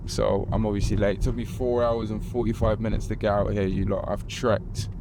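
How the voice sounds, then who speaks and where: A man speaks at a very fast pace. His voice carries audible room echo along with noticeable background noise. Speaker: YouTuber. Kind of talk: vlog and staged interview.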